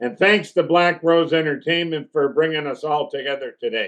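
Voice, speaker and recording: Here is a man with a normal speaking voice. His pitch is fairly high and his pace moderate. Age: 60s. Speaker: talk show host. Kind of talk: interview. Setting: TV studio.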